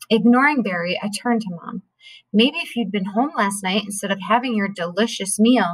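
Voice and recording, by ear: Reading aloud in a natural voice, with ordinary pitch variation and a quiet background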